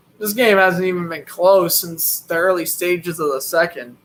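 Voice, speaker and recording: A man with a Boston accent speaks in a high pitch at a moderate pace. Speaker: sports commentator. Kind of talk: live play-by-play commentary with casual chat. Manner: casual, chatty.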